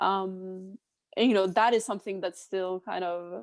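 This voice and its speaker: Speaking in a Swedish accent, a woman keeps a medium pitch with fairly even intonation. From northern Sweden. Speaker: chef. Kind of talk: podcast interview.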